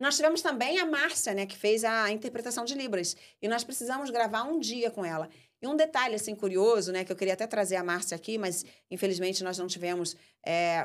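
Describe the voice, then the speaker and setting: Talking at a fairly quick pace, a woman uses a fairly high pitch and lively intonation. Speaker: podcast host and filmmaker. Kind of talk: casual chat. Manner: fast.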